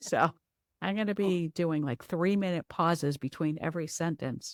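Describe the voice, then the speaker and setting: In a very clean recording with a silent background and a dry, close sound free of echo, a woman with a plain, everyday voice speaks at a fairly low pitch and moderate pace, with ordinary pitch variation. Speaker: podcast host, company CEO. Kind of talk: podcast interview.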